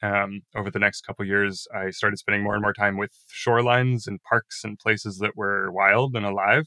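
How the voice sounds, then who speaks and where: In an American accent, a man with a fairly low pitch and a bright, sharp tone talks at a fairly quick pace in a monotone, flat delivery with hardly any pauses, the sound dry and close with no echo. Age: 20s. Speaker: former youth climate activist. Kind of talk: interview.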